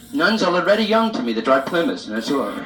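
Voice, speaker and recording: A man's lively intonation in an American accent, with music in the background. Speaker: stand-up comedian. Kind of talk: live stand-up comedy monologue. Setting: live club audience, vintage reel-to-reel recording.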